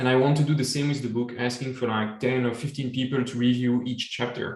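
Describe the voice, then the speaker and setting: A man talks very fast in a medium-pitched, monotone, flat voice. Audible room echo surrounds the speech. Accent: French. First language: French. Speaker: supply chain author and webinar host. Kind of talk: casual chat.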